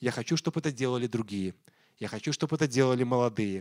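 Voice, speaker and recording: Recorded very cleanly with a silent background and a dry, close sound with no echo, a man speaks at a medium pitch with lively intonation. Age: 40s. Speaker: pastor. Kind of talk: sermon.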